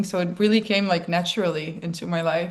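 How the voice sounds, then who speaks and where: This is a woman with a Dutch accent. Her pitch is medium. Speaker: DJ and producer. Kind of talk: interview conversation. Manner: casual, filler-heavy.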